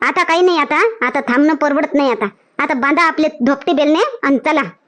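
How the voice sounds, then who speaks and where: Putting on a cartoonish character voice, a woman speaks with a high pitch at a moderate pace. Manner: loud, repetitive exclamations.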